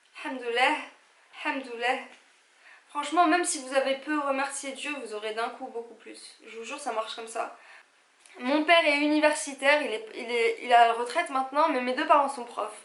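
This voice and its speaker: In an animated tone with a high pitch, a woman talks at a moderate pace with ordinary pitch variation and long, frequent pauses, and the room echo is audible. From Algeria. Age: 30s. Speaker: vlogger. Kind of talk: casual vlog talk to camera.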